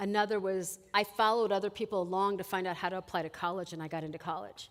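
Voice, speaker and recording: A woman's medium-pitched voice moves at a fairly quick pace, its pitch varying in an ordinary way. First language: Spanish. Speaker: college administrator. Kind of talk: chapel talk. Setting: college chapel. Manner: conversational.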